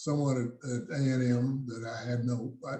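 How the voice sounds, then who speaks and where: Very slow and somewhat breathy, a man with an American accent speaks at a medium pitch in a dark, mellow tone, with audible room echo. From South Texas. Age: 80s+. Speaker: jazz musician and engineer. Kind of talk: interview. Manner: halting, many fillers.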